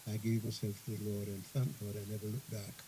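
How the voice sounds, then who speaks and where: At a fairly quick pace, a man of medium pitch speaks with a dark, mellow tone that is somewhat breathy. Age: 90s. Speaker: bishop. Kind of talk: sermon. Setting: church convention.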